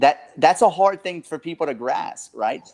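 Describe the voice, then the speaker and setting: Speaking with a Southern Louisiana accent, a man uses a high pitch, captured in a very clean recording with a silent background and a dry, close sound without echo. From South Louisiana. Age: 30s. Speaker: real estate investor and coach. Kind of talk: podcast interview. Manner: animated, emphatic; halting, repeats words.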